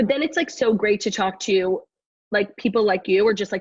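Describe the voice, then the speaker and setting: This woman's voice sits fairly high and comes across somewhat breathy. Her intonation is lively. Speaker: social media influencer and comedian. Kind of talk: casual interview chat. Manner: fast.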